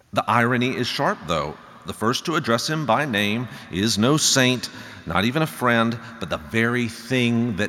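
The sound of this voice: What we hear is an unforced reading voice.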